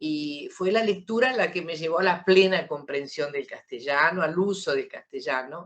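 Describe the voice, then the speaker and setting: Her intonation is lively. A woman with an Argentine accent speaks at a fairly slow pace. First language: Italian (speaking Spanish). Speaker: writer. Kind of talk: interview.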